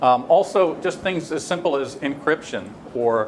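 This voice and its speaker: A man with ordinary pitch variation, against noticeable background noise. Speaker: tech company product executive presenting. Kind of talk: technical presentation to a panel. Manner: fast; halting, many fillers.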